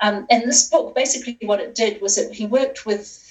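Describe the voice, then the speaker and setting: Music plays in the background as a woman talks with ordinary pitch variation. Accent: New Zealand. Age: 40s. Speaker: sustainability consultant. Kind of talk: interview.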